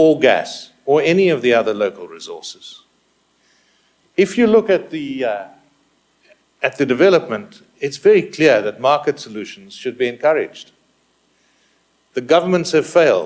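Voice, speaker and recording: With a South African accent, the speaker keeps a moderate pace, lively intonation and long, frequent pauses. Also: man, fairly high pitch for a man. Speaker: business executive, conference speaker. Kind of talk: conference presentation.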